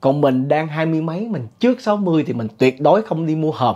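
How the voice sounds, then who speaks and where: A man with a fairly high pitch, dark, mellow tone and lively intonation, against a quiet background. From Vietnam. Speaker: storyteller and incense seller; ghost story vlogger. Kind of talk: horror storytelling monologue. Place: home room. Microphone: lapel.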